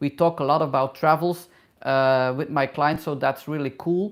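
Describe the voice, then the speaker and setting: The recording is very clean and the background silent. A woman speaks with a very deep, low pitch. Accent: non-native. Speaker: hairdresser and travel YouTuber. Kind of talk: live Q&A. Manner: halting, many fillers.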